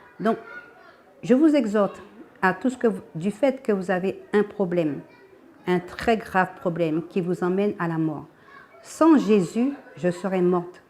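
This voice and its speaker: Against noticeable background noise, a woman talks at a fairly slow pace and medium pitch, leaving long, frequent pauses. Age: 60s. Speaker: church member giving testimony. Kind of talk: testimony. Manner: halting.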